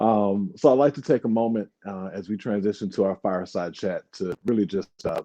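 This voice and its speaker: Against a quiet background, a man with a fairly low pitch and a dark, mellow tone speaks at a moderate pace with ordinary pitch variation and hardly any pauses, in a dry, close sound with no echo. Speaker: small business owner, head of culture. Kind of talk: event speech.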